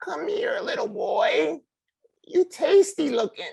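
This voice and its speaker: Speaking in a put-on character voice, someone talks at a fairly slow pace with an extremely high, raspy pitch. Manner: menacing, cackling.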